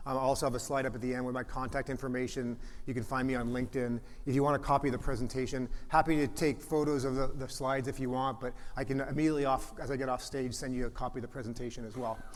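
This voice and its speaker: A man with a slight Canadian accent and medium pitch talks very fast. His intonation is monotone and flat, with audible room echo. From Canada, Toronto. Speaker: venture capitalist, conference presenter. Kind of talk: conference presentation. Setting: stage with audience. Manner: frequent fillers and restarts.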